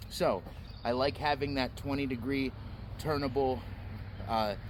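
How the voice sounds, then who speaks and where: The speaker is a man with a medium pitch and ordinary pitch variation. Vocal fry runs through his voice. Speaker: knife reviewer. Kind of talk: product review. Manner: loud.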